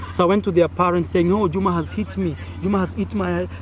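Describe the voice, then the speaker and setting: Through noticeable background noise, a man with an East African accent speaks at a fairly quick pace and a fairly high pitch. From Kenya. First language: Swahili. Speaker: vlogger. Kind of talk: storytelling. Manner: animated.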